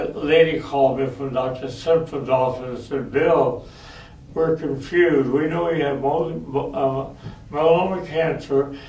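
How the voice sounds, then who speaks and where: Over noticeable background noise and audible room echo, a man with a fairly high pitch speaks fairly slowly with fairly even intonation. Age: 90s. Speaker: war veteran. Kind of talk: talk to school students.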